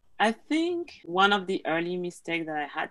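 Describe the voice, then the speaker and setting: The speech moves at a moderate pace. It carries a French accent. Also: woman. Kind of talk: interview. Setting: video call.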